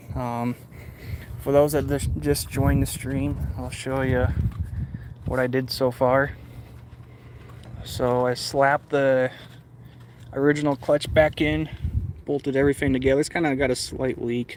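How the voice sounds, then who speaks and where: At a moderate pace, a man speaks with medium pitch and fairly even intonation, leaving long, frequent pauses. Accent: American. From Michigan. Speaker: motorcycle hobbyist streamer. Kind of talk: casual live stream chat.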